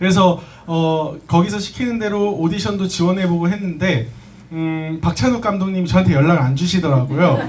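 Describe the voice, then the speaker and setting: A high-pitched man with ordinary pitch variation, amid noticeable background noise and audible room echo. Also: moderate pace. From South Korea, schooled in US from middle school. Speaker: business presenter. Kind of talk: business presentation to audience.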